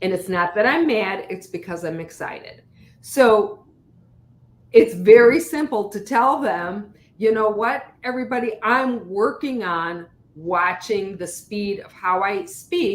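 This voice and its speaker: A woman with a fairly high voice talks at a fairly slow pace, her intonation lively and her loudness swinging widely. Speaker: leadership guest speaker. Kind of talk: casual interview chat. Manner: gets loud when excited.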